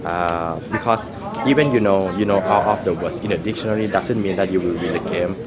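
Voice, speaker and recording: A man with a Thai accent and fairly low pitch, talking at a fairly quick pace over crowd noise in the background, with audible room echo. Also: ordinary pitch variation. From Thailand. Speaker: competitive Scrabble player. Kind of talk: interview. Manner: halting, many fillers.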